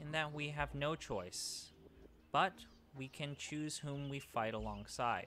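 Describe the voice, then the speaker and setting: Over clear background noise, a man uses a put-on character voice with fairly high pitch at a fairly slow pace. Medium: game stream.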